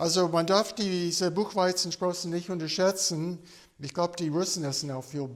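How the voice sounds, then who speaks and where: A man talking at a fairly slow pace. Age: 60s. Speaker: medical doctor. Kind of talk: informal health talk. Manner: halting, many fillers.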